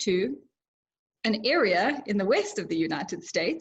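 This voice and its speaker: A woman's voice in a South African accent, at a moderate pace with very wide pitch swings. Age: 30s. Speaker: social media influencer and entrepreneur. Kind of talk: interview.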